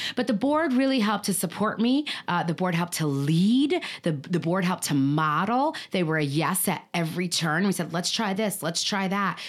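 A woman at medium pitch in an ordinary speaking voice, at a moderate pace, in a very clean recording with a silent background. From Chicago, Puerto Rican family. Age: 40s. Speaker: nonprofit executive director. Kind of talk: interview.

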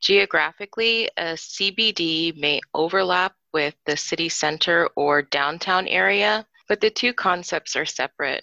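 A woman's fairly low, bright, sharp voice with vocal fry, a fairly slow pace, hardly any pauses, a dry, close sound with no echo, and a quiet background. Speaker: council office staffer. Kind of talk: explanatory briefing.

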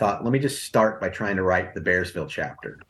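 In an ordinary speaking voice, a man with an American accent talks at a fairly low pitch with ordinary pitch variation over a quiet background. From US West Coast (Los Angeles, Arizona). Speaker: music journalist and author. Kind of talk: interview.

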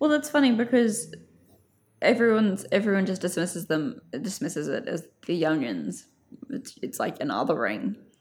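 Spoken at a moderate pace with an Australian accent, this voice has vocal fry and very wide pitch swings. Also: woman, medium pitch for a woman. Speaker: journalist and culture writer. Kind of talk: casual interview.

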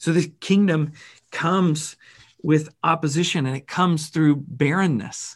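In a very clean recording with a silent background, a man with a normal speaking voice and fairly high pitch talks at a fairly slow pace with fairly even intonation. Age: 30s. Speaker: pastor. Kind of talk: sermon. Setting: church.

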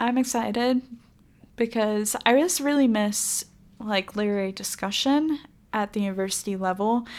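A normal speaking voice from a woman with an American accent, fairly high in pitch, at a moderate pace with ordinary pitch variation. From Florida. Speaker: podcast co-host, magazine staff. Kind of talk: casual chat.

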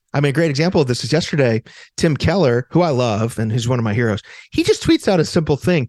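A normal speaking voice moves at a fairly quick pace with lively intonation. The sound is dry and close with no echo, against a quiet background. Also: man. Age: 40s. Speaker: professor of faith and culture. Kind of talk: casual chat.

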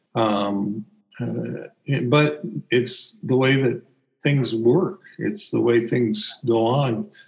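Somewhat breathy, a man speaks with an American accent. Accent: Southern US, shifts when he speaks of it. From US South. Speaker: podcast co-host. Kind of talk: casual conversational podcast discussion.

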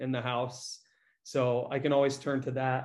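In an American accent, a man talks at a moderate pace with a medium pitch and an unremarkable speaking voice. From rural Iowa. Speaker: fitness and running coach. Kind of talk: casual interview.

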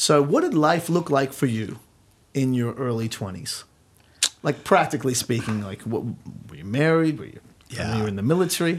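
Moderate pace from a man with an Australian accent, medium pitch, lively intonation, big swings in loudness and long, frequent pauses. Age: 30s. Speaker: church youth ministry leader and podcast host. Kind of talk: casual interview.

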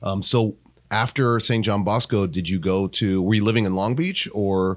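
A man speaks in a plain, everyday voice, fairly low in pitch, at a moderate pace with fairly even intonation. His loudness stays very even, and the recording is very clean with a silent background. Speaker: podcast host. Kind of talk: casual interview.

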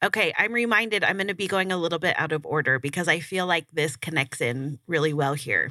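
A woman with an American accent, bright and sharp in tone, fairly quick, with hardly any pauses. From Burbank, California, US. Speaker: podcast host. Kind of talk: casual interview.

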